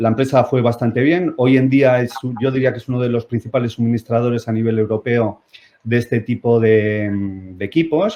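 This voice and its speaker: The speaker is a man with a mid-range pitch. He talks at an average speed with normal pitch movement. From Spain, Basque Country (Bilbao). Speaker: company CEO, physicist. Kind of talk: talk to online audience. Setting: video conference platform. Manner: hesitant, many fillers.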